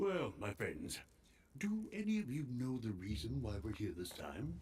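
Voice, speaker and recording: Using a put-on character voice, a man talks at a moderate pace in a medium pitch, making very wide pitch swings. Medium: video game.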